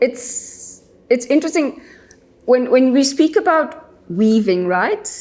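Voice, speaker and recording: A woman with a high pitch and very wide pitch swings, at a very slow pace with long, frequent pauses, over noticeable background noise. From South Africa. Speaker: environmental NGO worker. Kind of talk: podcast interview. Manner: hesitant, many fillers.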